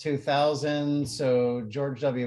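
Dark and mellow, a man's tone carries his words. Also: quiet background. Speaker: university professor presenting research. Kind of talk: lecture. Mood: friendly, relaxed. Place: home room. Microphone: video call.

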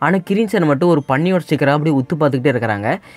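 The speech has lively intonation. Music plays in the background. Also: man. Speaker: anime recap narrator. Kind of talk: anime episode recap narration. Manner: casual, conversational.

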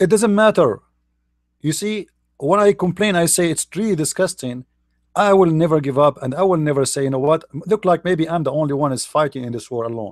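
Here a man speaks with a fairly high pitch. His intonation is lively and his pace fairly quick. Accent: Arabic. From Middle East. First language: Arabic. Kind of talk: online commentary talk.

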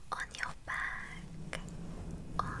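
A woman speaks softly. She is whispering. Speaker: ASMR creator. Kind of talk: soft relaxation whisper. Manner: slow soft ASMR whisper. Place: home room. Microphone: studio mic.

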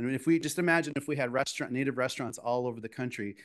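A man with an American accent, medium in pitch with ordinary pitch variation, at a very fast pace against a quiet background. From US Midwest, South Dakota reservation then Minneapolis. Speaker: chef. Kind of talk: lecture. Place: hall. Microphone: podium.

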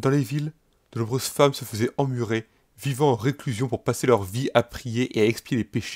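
In a solemn, dramatic tone, a man of medium pitch speaks at a moderate pace with ordinary pitch variation, the sound dry and close with no echo on a very clean recording with a silent background. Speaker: let's play narrator. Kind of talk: dramatic narration of alternate history, in-game let's play. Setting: gaming video voiceover. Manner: solemn, dramatic, epic storytelling tone; formal, archaic-sounding narration.

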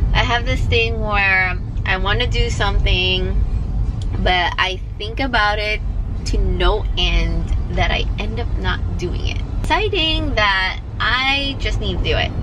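A woman talks fairly slowly while noticeable noise runs in the background. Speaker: vlogger. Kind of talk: casual vlog chat. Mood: reflective, candid. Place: car. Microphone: phone near.

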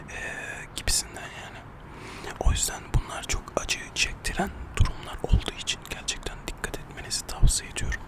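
A man whispering at a moderate pace, with noticeable background noise. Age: 20s. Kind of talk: ASMR casual chat to camera.

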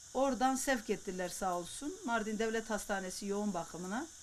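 Lively intonation marks this woman's unremarkable speaking voice. Her pace is moderate. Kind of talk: interview answer.

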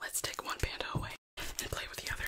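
A woman whispers softly at a very fast pace. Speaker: ASMR creator. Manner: soft close-mic ASMR whisper. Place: home room. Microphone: studio mic.

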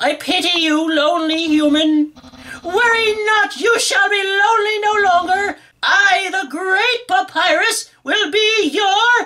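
A man puts on a character voice at an extremely high pitch, talking at a fairly slow pace. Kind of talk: comic overacting. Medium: game stream. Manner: loud, theatrical, grandiose and excitable.

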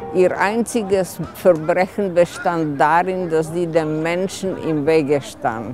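A woman speaks at a very slow pace with ordinary pitch variation, the sound dry with no echo and clear music in the background. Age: 80s+. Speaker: local resident telling a story. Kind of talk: personal story told at a community event. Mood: wistful, nostalgic. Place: open country.

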